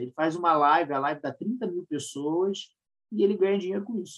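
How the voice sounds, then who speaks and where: A man's high-pitched voice at a moderate pace, with ordinary pitch variation against a quiet background. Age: 40s. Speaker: marketing professor and podcast co-host. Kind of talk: casual podcast chat.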